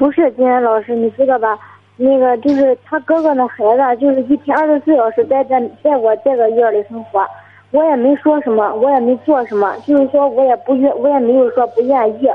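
Fairly quick speech with fairly even intonation over noticeable background noise. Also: woman, high pitch for a woman. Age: 20s. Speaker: young mother, caller. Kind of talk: phone-in call.

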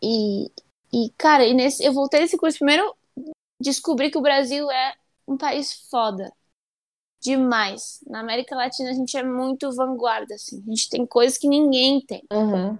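Here a woman speaks at a high pitch. Her pace is moderate and her pitch varies in an ordinary way. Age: 20s. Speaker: international relations graduate. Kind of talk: interview.

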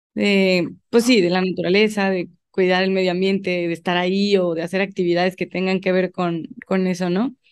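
Speaking at a moderate pace with hardly any pauses, a woman uses a medium pitch and monotone, flat intonation. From León, Mexico. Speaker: environmental engineering student and composting entrepreneur. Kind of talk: casual interview.

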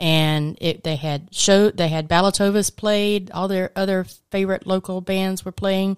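A woman with a plain, everyday voice speaks at a moderate pace in a medium pitch with fairly even intonation and hardly any pauses. The sound is dry and close with no echo. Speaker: radio co-host. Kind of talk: casual chat. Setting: studio.

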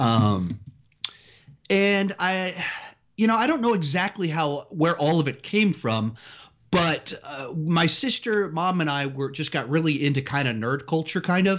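An American-accented man speaks at a fairly slow pace and a fairly high pitch, with lively intonation. It is an ordinary speaking voice. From Texas, Austin area. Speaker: movie YouTuber. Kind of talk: interview.

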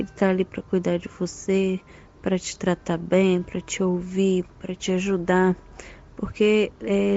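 Music plays behind a woman as she talks. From Brazil, Minas Gerais (Belo Horizonte). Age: 20s. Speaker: pregnant physiotherapist. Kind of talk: interview testimony. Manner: hesitant, with fillers.

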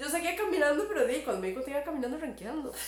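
A woman with a Costa Rican accent and very wide pitch swings, amid audible room echo and noticeable background noise. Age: 30s. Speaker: podcast guest. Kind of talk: casual chat.

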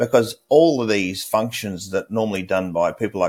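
The voice moves at a moderate pace with ordinary pitch variation, on a very clean recording with a silent background. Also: man. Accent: Australian. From Australia. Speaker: cybersecurity expert. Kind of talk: interview.

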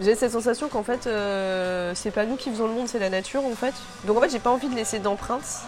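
Over music in the background, a woman talks at a fairly quick pace with a fairly high pitch and ordinary pitch variation. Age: 30s. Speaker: sports blogger and photographer. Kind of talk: casual interview.

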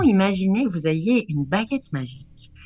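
Somewhat breathy and at a moderate pace, the voice swings very widely in pitch against a quiet background. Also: woman. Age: 40s. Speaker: vocal art therapist. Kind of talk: radio chronicle and advice; reading aloud.

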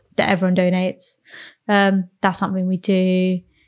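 A woman speaks at a medium pitch, her voice somewhat breathy. The recording is very clean with a silent background. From south London, England (Croydon), Sri Lankan Tamil family. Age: 20s. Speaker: podcast guest. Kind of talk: casual chat.

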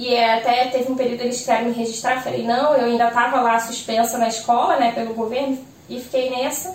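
A woman in a Rio de Janeiro accent speaks at a fairly quick pace and a high pitch, with audible room echo and noticeable background noise. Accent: Rio (carioca), S sounds like X. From Rio de Janeiro, Brazil. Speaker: small business owner, sweets and kits seller. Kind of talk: casual chat. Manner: animated.

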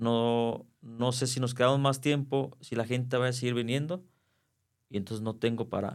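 A man speaks in an unremarkable speaking voice at a medium pitch and a moderate pace, with fairly even intonation. The recording is very clean, with a silent background. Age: 40s. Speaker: circus performer. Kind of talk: interview.

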